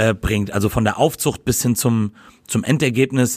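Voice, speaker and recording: In a very clean recording with a silent background, a man at a medium pitch speaks at a moderate pace with fairly even intonation. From Hesse, Germany (Gießen). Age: 30s. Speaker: burger restaurant owner. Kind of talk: casual interview chat.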